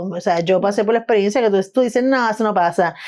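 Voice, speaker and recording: In a Puerto Rican accent, a woman speaks at a fairly high pitch with lively intonation. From Puerto Rico, San Juan (Río Piedras). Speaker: artist and film editor. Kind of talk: interview. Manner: halting, many false starts.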